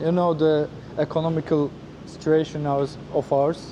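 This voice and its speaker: A man with a Turkish accent, fairly high pitch and monotone, flat intonation, at a moderate pace over noticeable background noise. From Turkey. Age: 30s. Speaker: former flight attendant, travel vlogger. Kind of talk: casual interview. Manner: halting, with many hesitations.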